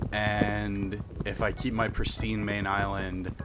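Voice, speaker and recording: Male speech in audible room echo, noticeable background noise around it. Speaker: gaming streamer. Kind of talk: gameplay commentary. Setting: live stream. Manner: halting, stuttering over words.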